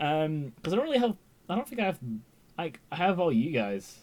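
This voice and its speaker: Here is a man with an English accent. His pitch swings very widely. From England. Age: 20s. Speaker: YouTube TV reviewer. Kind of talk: live stream chat. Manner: halting.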